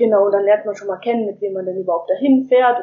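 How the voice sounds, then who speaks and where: Using an ordinary speaking voice, a woman talks at a fairly quick pace in a medium pitch. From northern Germany, near Hamburg. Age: young. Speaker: volunteer returning from abroad. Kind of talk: interview. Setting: remote call from home.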